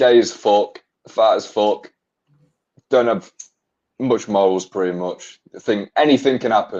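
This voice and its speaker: A man with an English accent speaks at medium pitch with ordinary pitch variation. He leaves long, frequent pauses. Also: fairly slow pace. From England. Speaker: podcast guest. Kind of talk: casual chat.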